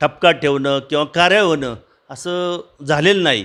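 With a bright, sharp tone and ordinary pitch variation, a man speaks at a fairly high pitch against a quiet background. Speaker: retired government agricultural officer. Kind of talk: interview.

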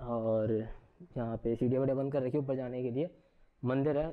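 A man's medium-pitched voice at a moderate pace, with fairly even intonation.

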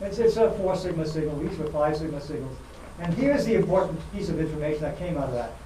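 A man talking very fast, with audible room echo and light background noise. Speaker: lecturer. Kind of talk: lecture. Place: hall. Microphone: lapel.

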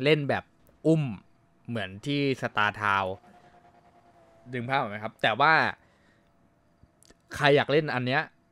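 This man's voice has a bright, sharp tone at medium pitch. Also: ordinary pitch variation. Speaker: game streamer playing a roleplay server, acting as admin. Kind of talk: casual talk to camera.

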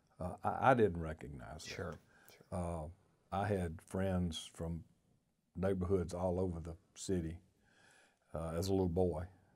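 A man's very deep, low voice with a Georgia accent, at a moderate pace with long, frequent pauses and ordinary pitch variation, over a quiet background. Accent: US Southern (Georgia). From Athens, Georgia area. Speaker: former state party chairman. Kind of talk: oral history interview. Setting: on camera, recorded interview. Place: studio.

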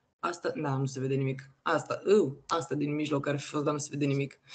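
A woman with a very deep, low pitch talks at a moderate pace in a monotone, flat way. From Romania, Constanța; Romania. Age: 20s. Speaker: NFT artist and creator; creator. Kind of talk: casual interview. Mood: relaxed, casual. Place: home room. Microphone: video call.

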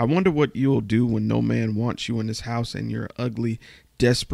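A natural reading voice, its pitch varying in an ordinary way.

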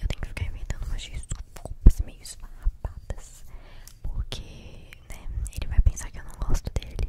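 A woman whispers at a moderate pace. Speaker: ASMR creator. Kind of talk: soft roleplay chat to viewer. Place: home room. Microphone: studio mic.

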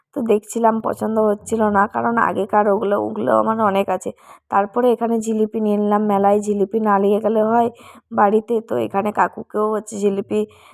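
On a very clean recording with a silent background and a dry, close sound with no echo, a woman speaks at medium pitch in a monotone, flat intonation. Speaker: vlogger. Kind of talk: casual vlog narration. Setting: outdoors at a crowded fair.

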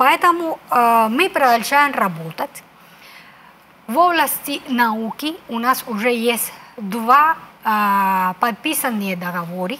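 The speaker has a Spanish accent and a very slow pace. The pitch swings very widely, with long, frequent pauses. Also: woman, fairly high pitch for a woman. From Cuba. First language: Spanish (speaking Russian). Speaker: ambassador; guest. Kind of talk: interview. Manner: halting, many hesitations. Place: studio. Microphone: lapel.

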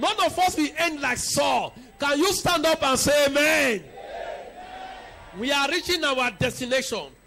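With light noise behind him, a man talks in an animated, raised and projected voice, his pitch extremely high and his pitch variation ordinary, at a moderate pace. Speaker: preacher. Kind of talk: sermon. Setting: church. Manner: animated, rising preaching cadence with repeated decrees. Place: church. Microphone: handheld.

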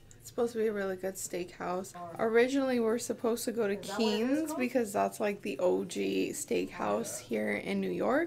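Background noise is noticeable. Through it, a woman talks. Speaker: travel vlogger. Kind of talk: casual vlog chat. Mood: upbeat, chatty. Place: home room. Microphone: phone near.

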